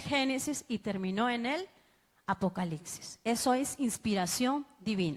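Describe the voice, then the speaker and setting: Speaking at a fairly slow pace, a woman with an ordinary speaking voice uses lively intonation at a fairly high pitch. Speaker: bible teacher. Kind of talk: sermon-style bible class.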